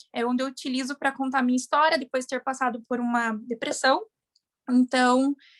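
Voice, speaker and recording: A woman speaks at a high pitch and a fairly quick pace, her intonation monotone and flat. The sound is dry and close with no echo, in a very clean recording with a silent background. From Paraná, southern Brazil. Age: 20s. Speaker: veterinary student and local influencer. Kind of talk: self-introduction.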